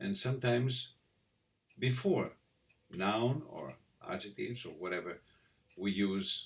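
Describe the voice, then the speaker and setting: Speaking at a fairly slow pace, a man with a Greek accent uses a medium pitch, lively intonation and a somewhat breathy sound. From Greece. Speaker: voice coach. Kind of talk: tutorial. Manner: halting, many fillers.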